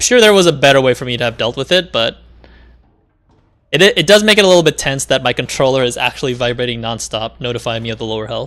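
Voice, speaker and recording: A man talks at a very fast pace in a medium pitch. His intonation is lively. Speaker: video game streamer. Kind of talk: gaming livestream commentary. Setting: livestream while playing a game. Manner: loud when excited while gaming; casual, full of fillers and restarts.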